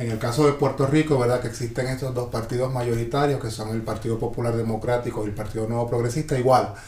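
With audible room echo and noticeable background noise, a man speaks at a very fast pace, his medium pitch delivered in a monotone, flat intonation. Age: 40s. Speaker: podcast host. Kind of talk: casual chat.

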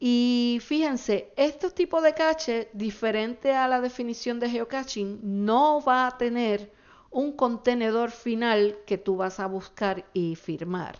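With hardly any pauses, a woman with a high pitch speaks at a very slow pace, her pitch varying in an ordinary way. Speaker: podcast host. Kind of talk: solo podcast monologue. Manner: hesitant, many fillers.

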